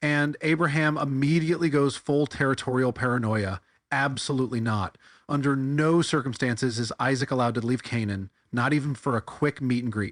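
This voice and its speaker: In a dry, close sound with no echo and a quiet background, a man with an ordinary speaking voice talks at medium pitch and a fairly quick pace with ordinary pitch variation. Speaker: satirical bible commentator. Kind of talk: comedic commentary monologue. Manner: sarcastic.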